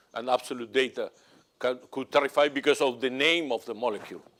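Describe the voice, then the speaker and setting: A man with a Spanish accent talks at a fairly quick pace and medium pitch. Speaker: analytical chemistry professor. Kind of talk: conference Q&A answer. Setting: conference stage with audience. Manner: halting.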